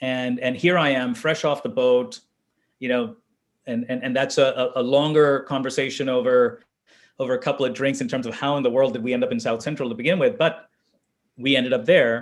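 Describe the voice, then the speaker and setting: A man with an ordinary speaking voice, medium in pitch, at a fairly quick pace with ordinary pitch variation. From India (Delhi), moved to Los Angeles at 13. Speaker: venture capitalist. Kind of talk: interview conversation. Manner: repetitive restarts, frequent fillers.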